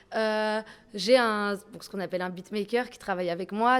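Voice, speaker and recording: This woman has a normal speaking voice with fairly even intonation. She talks at a fairly quick pace. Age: young. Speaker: rap electro artist. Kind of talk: interview.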